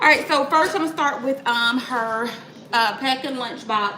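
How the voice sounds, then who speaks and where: A woman at a fairly slow pace with ordinary pitch variation, audible room echo, and noticeable background noise. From US South, Atlanta. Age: 30s. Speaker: mom vlogger. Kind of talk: live cooking vlog, casual chat. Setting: home kitchen, livestream. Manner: chatty, upbeat.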